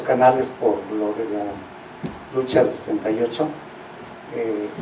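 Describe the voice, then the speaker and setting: The man keeps a moderate pace while noticeable background noise fills the recording. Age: 70s. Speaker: audience member. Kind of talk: Q&A comment.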